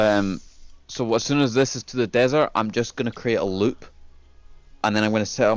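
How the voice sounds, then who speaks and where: A man's fairly low voice with fairly even intonation. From Scotland. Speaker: gamer showing his factory build. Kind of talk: casual chat.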